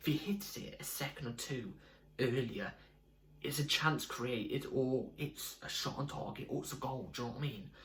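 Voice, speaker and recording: Here a man uses a normal speaking voice at medium pitch. His pace is moderate and his pitch variation ordinary. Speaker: football fan video creator. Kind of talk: casual fan match review. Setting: home at night.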